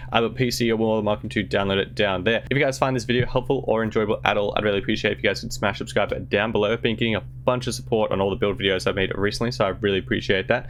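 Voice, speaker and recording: A man rushes along at a very fast pace with hardly any pauses, over noticeable background noise. His fairly low voice makes very wide pitch swings. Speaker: gaming YouTuber. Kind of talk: gaming tutorial. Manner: enthusiastic.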